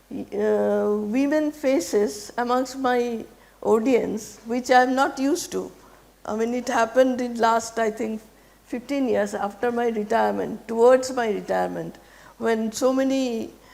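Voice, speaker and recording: A woman talks at a fairly slow pace with fairly even intonation, and audible room echo surrounds her voice. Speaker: retired geology professor. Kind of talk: lecture. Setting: auditorium with student audience. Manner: halting.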